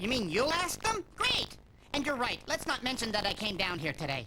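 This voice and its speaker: A man's cartoonish character voice, extremely high and raised to project, with very wide pitch swings over clear background noise. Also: moderate pace. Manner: sly, sarcastic.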